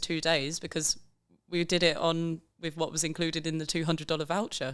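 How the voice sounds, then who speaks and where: A woman with an English accent, fairly low in pitch, at a fairly quick pace. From England. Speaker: backpacker on working holiday. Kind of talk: casual chat.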